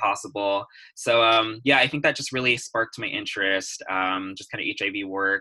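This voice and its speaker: This man has a fairly low pitch and a bright, sharp tone, speaking with an American accent at a moderate pace and with fairly even intonation. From California. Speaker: PhD student in biology. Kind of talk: interview. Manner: hesitant with fillers.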